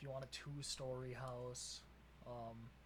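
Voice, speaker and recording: Through audible room echo, a man with a Wisconsin accent speaks at a very slow pace. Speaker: podcast co-host. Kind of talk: casual chat.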